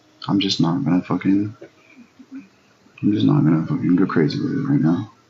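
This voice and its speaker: Someone speaks at a moderate pace against noticeable background noise. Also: man. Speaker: live streamer. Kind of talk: casual livestream chat. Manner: loud; energetic.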